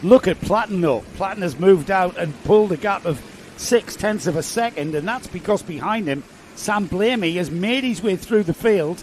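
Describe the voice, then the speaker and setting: A man speaks at a high pitch and a moderate pace, with ordinary pitch variation. Noticeable background noise runs under his voice. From northeast England. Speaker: motorsport commentator. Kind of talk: live commentary.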